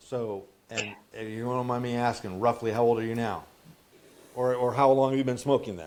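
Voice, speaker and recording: Big swings in loudness from a man at medium pitch, moderate pace and fairly even intonation. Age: 50s. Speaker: podcast host and habit counselor. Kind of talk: casual coaching conversation. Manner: halting with frequent repetitions.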